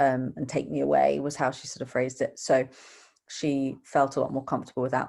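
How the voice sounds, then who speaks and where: Speaking at a moderate pace, a woman with a British accent has a very deep, low pitch and vocal fry. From UK. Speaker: donor-conceived adult. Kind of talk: casual interview chat.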